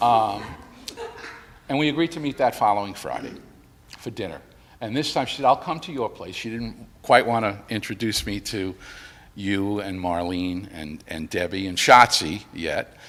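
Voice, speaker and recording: Speaking at a moderate pace with long, frequent pauses, a man with an American accent uses a fairly low pitch, lively intonation and big swings in loudness. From New York City, the Bronx. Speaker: widower giving eulogy. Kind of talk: eulogy. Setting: church memorial service. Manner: conversational, storytelling.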